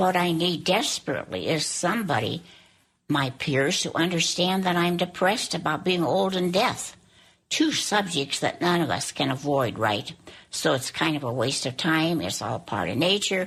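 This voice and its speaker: Vocal fry runs through a woman's fairly low voice, with lively intonation and a moderate pace. The recording is very clean and the background silent. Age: 80s+. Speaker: elderly woman sharing her story. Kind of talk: reading aloud.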